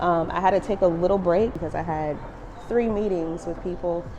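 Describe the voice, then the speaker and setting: Against noticeable background noise, a woman speaks quickly at a fairly low pitch with monotone, flat intonation. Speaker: muralist and art vlogger. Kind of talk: casual vlog narration. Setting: outdoors at night in a tunnel.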